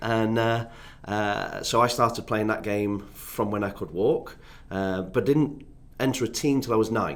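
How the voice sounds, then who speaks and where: In an English accent, a man speaks at a fairly slow pace with a medium-pitched voice and ordinary pitch variation. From northern England, Doncaster near Sheffield. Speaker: youth development consultant, former academy footballer. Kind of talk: podcast interview.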